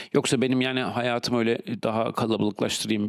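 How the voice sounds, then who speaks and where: Vocal fry marks a man's medium-pitched voice as he speaks at a very fast pace. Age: 40s. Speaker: podcast host. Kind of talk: solo monologue. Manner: halting with many fillers.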